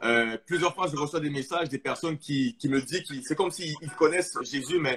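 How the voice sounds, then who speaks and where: Against noticeable background noise, a man with a fairly high pitch and ordinary pitch variation speaks at a fairly quick pace. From Quebec (Montreal), arrived from Congo at 8. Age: 20s. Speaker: testimony guest. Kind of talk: testimony. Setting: live stream.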